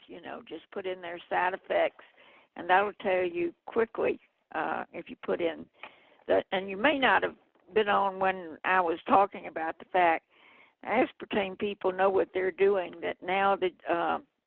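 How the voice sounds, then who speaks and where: Speaking at a medium pitch with a Southern US accent, a woman swings widely in loudness. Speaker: health activist. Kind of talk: radio interview.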